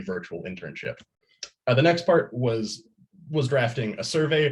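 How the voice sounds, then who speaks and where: The voice is somewhat breathy, with lively intonation. It moves along at a fairly quick pace. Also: man. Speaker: college student presenting internship. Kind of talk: student presentation. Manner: halting, with repetitions.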